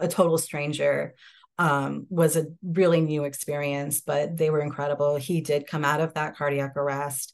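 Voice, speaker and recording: A woman with an American accent speaks at a moderate pace in a very deep, low voice. Her intonation is flat and monotone, and the background is quiet. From upstate New York, Hudson Valley. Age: 30s. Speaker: law student, widow. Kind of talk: personal testimony in interview.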